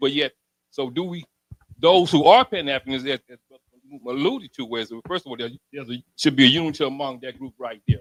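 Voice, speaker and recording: A man with an American accent has a plain, everyday voice at a fairly high pitch. He talks at a fairly quick pace in a dry, close sound with no echo. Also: ordinary pitch variation. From Alabama, US South. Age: 60s. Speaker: audience member asking a question. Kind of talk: question at a community panel.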